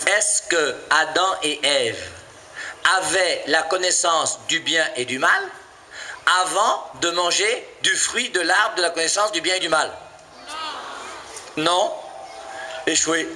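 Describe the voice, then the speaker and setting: A man talks at a very slow pace, leaving long, frequent pauses, while audible room echo and noticeable background noise fill the recording. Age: 50s. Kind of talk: sermon. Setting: church. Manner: animated.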